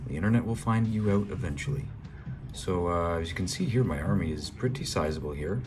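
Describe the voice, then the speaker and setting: A man with a Canadian accent speaks at a fairly quick pace, his very deep, low pitch moving in very wide swings. Audible room echo surrounds the voice. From Canada. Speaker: gaming YouTuber. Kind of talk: gameplay commentary. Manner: hesitant, many fillers.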